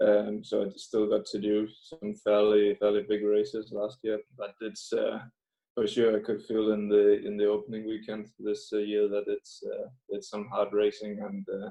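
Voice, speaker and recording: At a moderate pace, a man speaks in a Danish accent. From Denmark. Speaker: professional cyclist. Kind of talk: interview. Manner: halting, many fillers.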